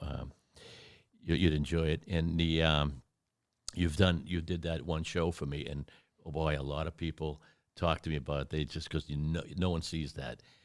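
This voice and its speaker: A man speaks at a moderate pace in a very deep, low voice with vocal fry and flat, monotone intonation. The recording is very clean, with a silent background. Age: 60s. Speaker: martial arts instructor and podcast host. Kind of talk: casual interview chat.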